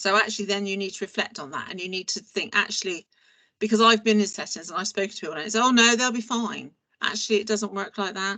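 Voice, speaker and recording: Loud and at a very fast pace, a woman speaks with ordinary pitch variation. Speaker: early years training officer. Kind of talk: training presentation. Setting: pre-recorded online training. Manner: animated.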